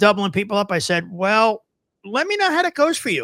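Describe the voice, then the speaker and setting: The man's raised, projected voice has a bright, sharp tone. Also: dry, close sound with no echo. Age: 50s. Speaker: podcast host and veteran roadie. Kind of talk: casual chat.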